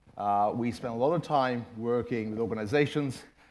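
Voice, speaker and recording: The man speaks at a medium pitch and a fairly slow pace. His pitch variation is ordinary, and audible room echo is present. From Ireland. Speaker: management consultant and former corporate IT executive. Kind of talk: conference presentation.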